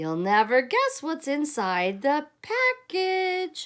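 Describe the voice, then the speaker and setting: A squeaky, high put-on character voice is heard. It moves at a very slow pace. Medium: read story.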